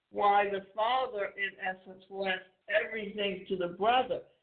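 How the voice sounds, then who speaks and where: A normal speaking voice from a woman with an American accent, medium in pitch, fairly even in intonation and fairly slow in pace. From US. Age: 60s. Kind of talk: motivational monologue.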